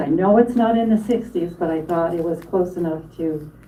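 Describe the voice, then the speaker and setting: A woman speaks with a fairly low pitch for a woman. Some room echo can be heard. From Wyoming, Newcastle area. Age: 70s. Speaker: panel speaker. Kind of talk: public talk, reminiscence.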